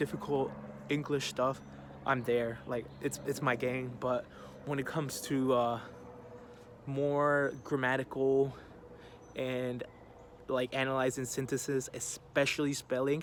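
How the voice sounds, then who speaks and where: Over noticeable background noise, a man at a medium pitch speaks at a fairly slow pace, pausing long and often. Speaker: college student. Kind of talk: personal testimony. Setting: outdoors. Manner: hesitant, casual with fillers.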